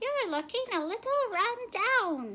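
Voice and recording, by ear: Putting on a raspy character voice at an extremely high pitch, a woman speaks at a fairly slow pace.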